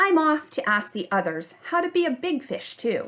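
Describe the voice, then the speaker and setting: Doing a put-on character voice, a woman speaks at a high pitch with very wide pitch swings. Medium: read story.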